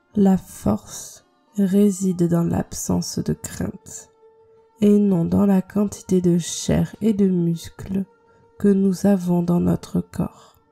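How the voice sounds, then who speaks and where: A woman at a very slow pace in a calm tone, dry and close with no echo, music in the background. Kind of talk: meditation quote reading. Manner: slow, calm.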